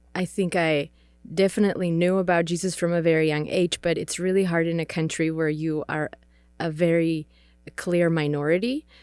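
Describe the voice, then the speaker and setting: A woman with a Czech accent at a moderate pace, her intonation monotone and flat, on a very clean recording with a silent background. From Czech Republic. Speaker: missionary. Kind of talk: casual interview.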